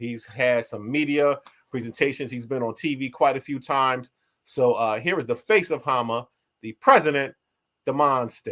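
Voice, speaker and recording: A man speaks loudly in a bright, sharp tone. The recording is very clean, with a silent background. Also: medium pitch for a man, ordinary pitch variation, moderate pace. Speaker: martial arts association vice president, show host. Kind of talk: live stream talk.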